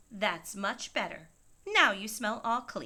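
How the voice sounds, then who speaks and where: A woman puts on a character voice. She speaks at a fairly high pitch and a fairly slow pace. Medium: read story.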